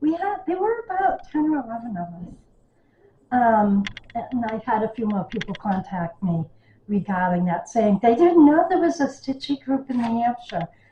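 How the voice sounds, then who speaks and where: A woman's fairly high voice with very wide swings in pitch. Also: moderate pace. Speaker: cross stitch video creator. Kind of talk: casual chat. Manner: animated.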